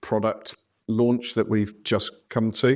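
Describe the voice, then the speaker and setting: Monotone and flat, a man's fairly low voice comes through in a very clean recording with a silent background. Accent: West Country. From southwest England. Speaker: podcast host. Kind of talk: casual chat.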